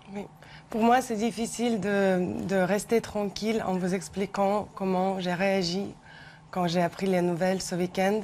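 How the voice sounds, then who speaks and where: A woman of medium pitch speaks at a fairly slow pace. Her intonation is flat and monotone. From Ukraine. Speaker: researcher. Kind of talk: televised debate.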